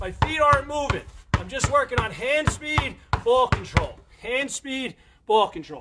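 A raised, projected voice with lively intonation comes through over noticeable background noise. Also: man. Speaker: basketball coach. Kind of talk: live-streamed coaching workout, barking out drill cues and counting time. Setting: Facebook Live stream. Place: garden. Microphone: phone near.

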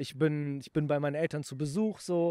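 A plain, everyday voice from a man, fairly high in pitch, at a moderate pace, with a quiet background and a dry sound with no echo. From Germany, Aachen; Germany. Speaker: YouTuber and snack entrepreneur; YouTuber. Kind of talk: casual chat. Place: garden. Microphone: handheld.

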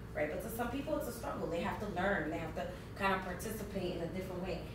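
Very fast speech from a woman amid noticeable background noise and audible room echo. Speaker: conference presenter. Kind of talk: conference presentation. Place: meeting room. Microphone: camera far.

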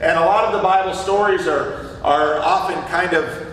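Light background noise sits under the voice, and room echo is audible. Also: man. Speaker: preacher or Sunday school teacher. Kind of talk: sermon. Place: church.

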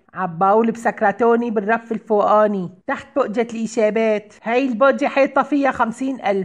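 A woman's fairly high voice in an Aleppo accent, with ordinary pitch variation and hardly any pauses. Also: moderate pace, very even loudness. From Aleppo, Syria. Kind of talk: comic phone-call sketch.

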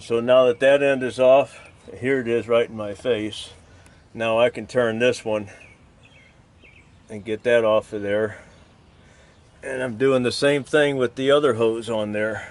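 A man's monotone, flat delivery at a fairly slow pace, with long, frequent pauses. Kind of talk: tutorial. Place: open country.

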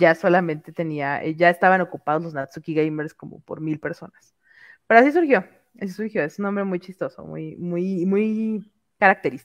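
Against a quiet background, a woman with a Mexican accent speaks at a moderate pace and a fairly low pitch, with ordinary pitch variation and big swings in loudness. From Mexico. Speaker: content creator. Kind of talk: casual chat. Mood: relaxed, playful. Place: home room. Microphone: headset.

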